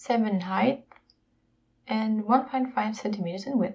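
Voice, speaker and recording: A woman talks at a moderate pace with a non-native accent. Her voice is somewhat breathy. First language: not English. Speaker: YouTuber, luxury unboxing. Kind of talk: unboxing video, casual presentation.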